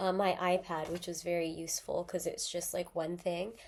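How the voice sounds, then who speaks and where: This is a woman speaking at a moderate pace. Her pitch sits in the medium range. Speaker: artist vlogger. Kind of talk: casual vlog. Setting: home, filming on computer camera. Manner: halting, many fillers.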